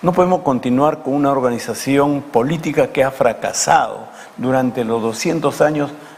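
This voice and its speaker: Amid noticeable background noise, a man with fairly high pitch talks at a moderate pace with ordinary pitch variation. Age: 70s. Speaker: politician, former congressman. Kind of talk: TV interview.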